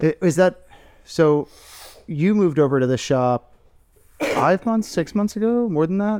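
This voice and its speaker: Speaking in an American accent, a man with a high pitch and a dark, mellow tone uses lively intonation. He goes at a fairly slow pace with long, frequent pauses. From Tampa, Florida. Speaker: podcast host, tattoo artist. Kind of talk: sponsor plug; casual chat.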